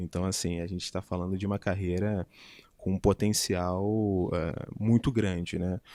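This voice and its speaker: Very deep and low, a man speaks slowly in a dark, mellow tone with monotone, flat intonation. The recording is very clean and silent, dry and close with no echo. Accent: Rio de Janeiro. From Rio de Janeiro, Brazil. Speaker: public attorney and law professor. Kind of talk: interview chat.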